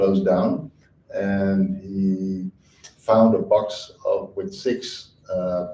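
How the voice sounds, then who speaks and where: A man speaks over noticeable background noise. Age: 50s. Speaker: shoemaker and teacher. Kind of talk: panel talk. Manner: hesitant, many fillers.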